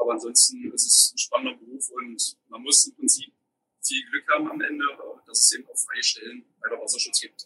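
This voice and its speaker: Recorded dry and close with no echo, a man talks fairly quickly with big swings in loudness. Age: 30s. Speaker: water police officer. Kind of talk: interview; guided tour. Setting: on a police boat.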